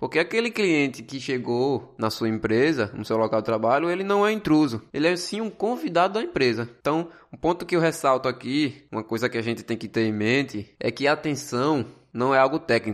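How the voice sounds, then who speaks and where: A man's fairly high voice at a fairly quick pace, with very wide pitch swings and hardly any pauses. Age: 20s. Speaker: podcast host, business student and gas station attendant. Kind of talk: solo podcast monologue on customer service.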